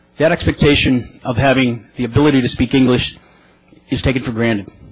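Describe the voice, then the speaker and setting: Over noticeable background noise, a man with an American accent talks very fast at a medium pitch with fairly even intonation. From Boston area, US. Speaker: advocacy group advisory board member. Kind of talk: legislative testimony. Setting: legislative committee hearing. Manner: formal.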